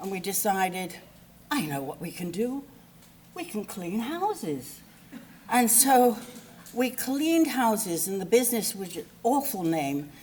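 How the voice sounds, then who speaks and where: With an English accent, a woman talks at a fairly high pitch and a fairly slow pace, her voice making very wide pitch swings and big swings in loudness, broken by long, frequent pauses over noticeable background noise. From England. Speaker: eulogy speaker, friend of the deceased. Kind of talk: eulogy. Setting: memorial service. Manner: animated; halting.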